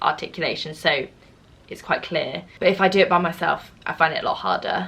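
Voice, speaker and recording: A woman speaks with an East Midlands accent. Her pitch is fairly low. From East Midlands, England. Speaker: drama school student and vlogger. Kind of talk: casual Q&A vlog.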